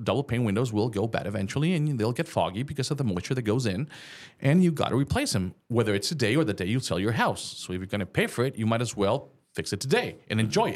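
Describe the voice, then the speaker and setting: Speaking very fast with lively intonation, a man with a medium pitch and a slight Mexican accent comes through on a very clean recording with a silent background. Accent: light Mexican Spanish accent in English. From Mexico. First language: Spanish.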